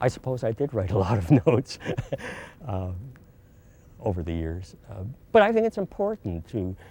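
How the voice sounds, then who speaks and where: Speaking with a Canadian accent, the voice has a dark, mellow tone and long, frequent pauses. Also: man, fairly low pitch for a man, lively intonation, moderate pace. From Montreal, Quebec. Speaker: retired university president and educator. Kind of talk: interview reminiscence.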